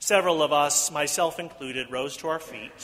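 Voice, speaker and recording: At a moderate pace, a man with an American accent uses a normal speaking voice, a fairly high pitch, and fairly even intonation. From US Midwest. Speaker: pastor. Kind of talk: sermon. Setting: church.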